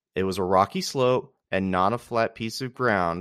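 Using a normal speaking voice, a man talks at a moderate pace with ordinary pitch variation, the sound dry and close with no echo over a quiet background. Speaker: podcast host. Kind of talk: reading aloud a history write-up. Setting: solo home recording. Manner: measured, steady narration with a storyteller's cadence.

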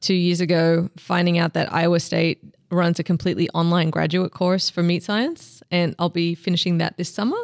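A woman with an Australian accent talks at a fairly quick pace and fairly low pitch, sounding dry and close with no echo in a very clean recording with a silent background. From Australia, Melbourne. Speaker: meat specialist and seasoning company founder. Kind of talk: interview. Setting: in-person at an industry meeting.

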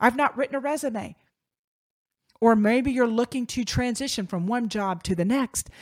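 In an American accent, this animated voice moves at a moderate pace with long, frequent pauses and ordinary pitch variation, recorded very clean, dry and close, with no echo and a silent background. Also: woman. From Virginia. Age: 50s. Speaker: podcast host, communications company founder. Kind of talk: solo podcast monologue.

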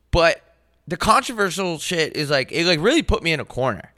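In a very clean recording with a silent background, a man talks loudly at a moderate pace, his high-pitched voice bright and sharp in tone, with lively intonation. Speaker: comedy podcast co-host. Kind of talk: casual chat.

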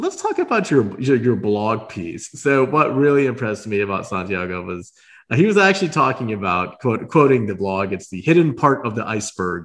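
Very wide pitch swings in a medium-pitched male voice. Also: moderate pace. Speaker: podcast host. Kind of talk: interview. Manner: stumbling, repeats words.

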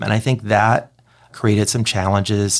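In a very clean recording with a silent background, a man with an American accent speaks at a moderate pace and fairly low pitch, a normal speaking voice. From East Texas (Kilgore). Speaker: advertising agency president. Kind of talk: interview conversation.

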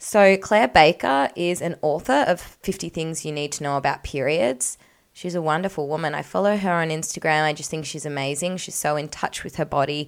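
A woman's very deep, low voice at a fairly quick pace, with ordinary pitch variation, on a very clean recording with a silent background. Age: 20s. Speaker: podcast host and fitness coach. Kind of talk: casual solo podcast talk. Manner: frequent fillers and laughs.

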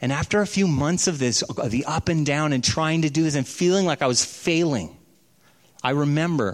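A man with an unremarkable speaking voice, his pitch fairly high, his intonation lively, his pace moderate. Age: 40s. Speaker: pastor. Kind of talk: sermon.

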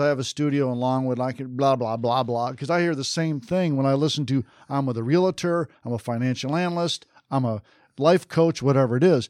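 Speaking at a fairly quick pace with lively intonation, a man uses a normal speaking voice, recorded with a dry, close sound and no echo. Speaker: podcast host. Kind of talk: casual interview. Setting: studio.

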